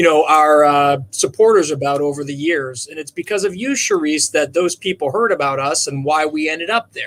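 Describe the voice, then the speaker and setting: Speaking with a Minnesotan accent, a man keeps a moderate pace at a fairly high pitch with ordinary pitch variation. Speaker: charity co-founder. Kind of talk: casual chat. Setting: virtual livestream.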